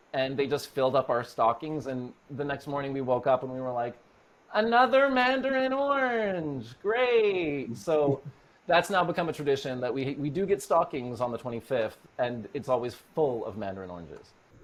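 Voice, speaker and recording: An unremarkable speaking voice talks at a moderate pace with a Canadian accent. The intonation is lively. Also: man, fairly high pitch for a man. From Norway, raised in Canada. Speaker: actor. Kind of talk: casual interview chat.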